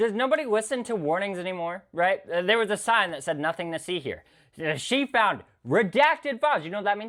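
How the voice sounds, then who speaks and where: Against a very clean recording with a silent background, a man speaks at a fairly quick pace in a high pitch, his tone bright and sharp and his intonation lively. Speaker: reaction streamer. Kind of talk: casual reaction commentary.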